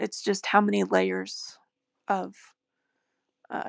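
Very slowly, a woman speaks with an American accent on a very clean recording with a silent background and a dry, close sound with no echo. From US. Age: 50s. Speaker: podcast host. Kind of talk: solo monologue.

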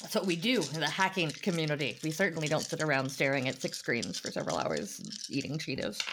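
The delivery is animated and very fast, with lively intonation. Noticeable background noise runs underneath. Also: woman, very deep, low pitch for a woman. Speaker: tabletop game player and podcast co-host. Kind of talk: casual chat. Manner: joking, animated.

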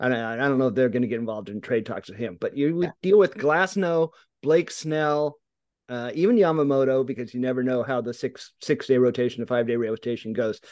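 An unremarkable speaking voice with an American accent moves at a fairly quick pace with lively intonation. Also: man, medium pitch for a man. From California Central Valley, US. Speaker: sports writer and podcast co-host. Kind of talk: casual chat.

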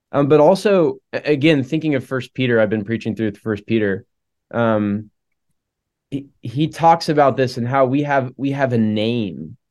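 Against a quiet background, a man speaks in a normal speaking voice at a moderate pace, with a medium pitch and ordinary pitch variation. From Oklahoma. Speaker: campus minister. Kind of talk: casual conversation. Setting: video call.

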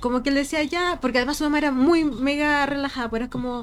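A woman speaks at a high pitch. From Chile, Vicuña. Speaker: podcast co-host. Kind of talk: casual chat. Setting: in person, late at night.

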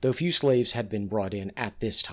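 A man is speaking. His pace is fairly quick, with ordinary pitch variation. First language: English (not a Spanish speaker). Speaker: history podcast host. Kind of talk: scripted narration.

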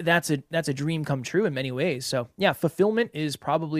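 The recording is very clean, with a silent background and a dry, close sound with no echo. A man speaks at a fairly quick pace. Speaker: podcast founder and host. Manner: upbeat, enthusiastic.

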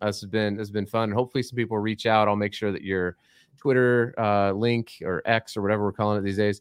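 A man speaks with an ordinary speaking voice at a fairly low pitch and fairly even intonation. The sound is dry and close with no echo, on a very clean recording with a silent background. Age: 40s. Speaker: basketball podcast host. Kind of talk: casual interview.

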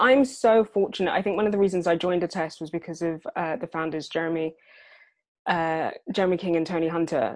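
At a fairly quick pace, a woman with a British accent and a fairly low pitch speaks against a quiet background. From UK, adopted from Sierra Leone at three. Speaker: head of people at a tech startup. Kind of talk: podcast interview.

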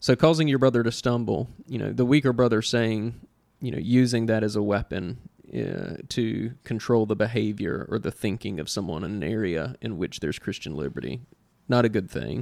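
A man with a Southern US accent, vocal fry and lively intonation. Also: medium pitch for a man. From US South.

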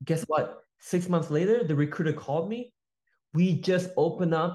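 A man talks at a moderate pace with a high pitch in an American accent. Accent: American-sounding English. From Malaysia. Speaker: sales entrepreneur. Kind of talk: casual chat. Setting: video call. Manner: animated.

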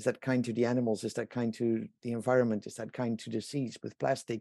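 A man speaks at a medium pitch with a Dutch accent. His tone is dark and mellow. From Netherlands. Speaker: inventor and company founder. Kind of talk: interview.

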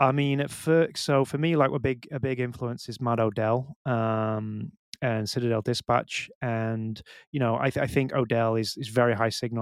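A medium-pitched man with a British accent at a moderate pace and fairly even intonation, in a dry, close, echo-free sound over a silent background in a very clean recording. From UK. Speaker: bitcoin meetup organizer. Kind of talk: casual chat. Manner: halting.

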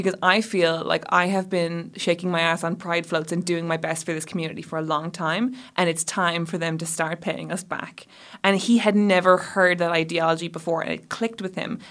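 A woman speaks with an Irish accent at a fairly quick pace and a fairly low pitch. Her intonation is fairly even, and the recording is very clean with a silent background. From Ireland. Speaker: podcast host, novelist and journalist. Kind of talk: casual chat. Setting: studio.

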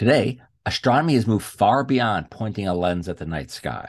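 A man's fairly low voice with vocal fry, lively intonation and a moderate pace, over a quiet background. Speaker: podcast host. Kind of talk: interview.

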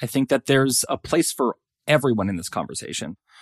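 This man has an unremarkable speaking voice, medium in pitch, with lively intonation at a fairly quick pace. The recording is very clean with a silent background and a dry, close sound with no echo. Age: 30s. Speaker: social psychology professor and weight stigma researcher. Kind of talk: casual interview conversation.

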